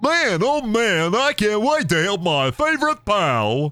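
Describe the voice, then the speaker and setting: A man puts on a character voice, pitched high, with very wide swings in pitch and a fairly slow delivery. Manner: cheerful, friendly.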